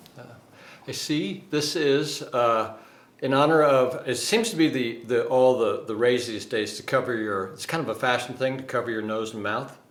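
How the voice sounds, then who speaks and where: A man's medium-pitched voice, with ordinary pitch variation, carries audible room echo. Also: moderate pace. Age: 60s. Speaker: dating coach. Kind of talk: casual vlog monologue. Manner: halting, many fillers.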